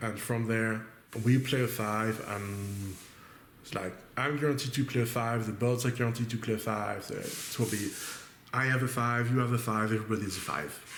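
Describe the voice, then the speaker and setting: A man with a French accent talks at medium pitch and a moderate pace, with fairly even intonation. Audible room echo surrounds his voice. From France. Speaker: board game streamer. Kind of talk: gameplay commentary. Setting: webcam recording at home. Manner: thinking aloud, hesitant.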